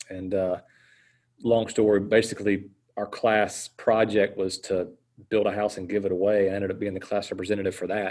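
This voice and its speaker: Speaking at a fairly quick pace with an American accent, a man with a fairly low pitch keeps a monotone, flat intonation on a very clean recording with a silent background. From South Carolina, US South. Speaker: water plant outreach speaker. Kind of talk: casual chat.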